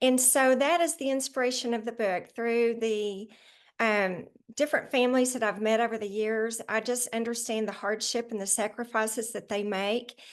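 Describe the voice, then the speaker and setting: In a normal speaking voice, a woman talks at a moderate pace and fairly high pitch with fairly even intonation against a quiet background. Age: 60s. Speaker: children's book author. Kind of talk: interview.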